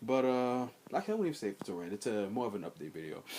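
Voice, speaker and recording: This man's voice swings very widely in pitch. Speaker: gaming video creator. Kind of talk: casual vlog commentary. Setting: storage room at home. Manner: quiet; halting, many fillers.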